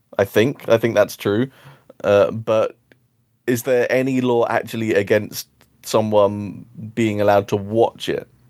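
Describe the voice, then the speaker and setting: A man's medium-pitched, monotone voice, flat in intonation, at a fairly slow pace with long, frequent pauses. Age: 30s. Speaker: film podcast co-host. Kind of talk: casual chat. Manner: hesitant, many fillers.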